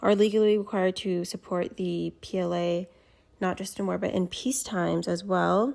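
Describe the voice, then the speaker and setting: Her intonation stays fairly even as a woman talks at a medium pitch. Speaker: student. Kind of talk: class presentation. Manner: slow.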